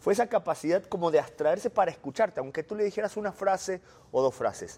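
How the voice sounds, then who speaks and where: Fairly quick male speech in a dry, close sound with no echo. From Argentina. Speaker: journalist, former Vatican correspondent. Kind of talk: interview.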